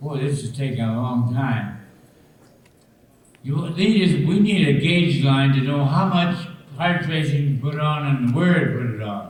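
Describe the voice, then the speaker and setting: A man with a fairly high pitch and ordinary pitch variation talks at a fairly slow pace against noticeable background noise. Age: 80s+. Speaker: camshaft engine builder. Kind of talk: storytelling to a live audience.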